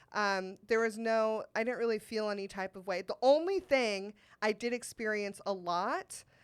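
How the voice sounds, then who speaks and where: In a very clean recording with a silent background, a woman speaks at a fairly slow pace with ordinary pitch variation. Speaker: comedian and podcaster. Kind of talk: casual interview chat. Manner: loud.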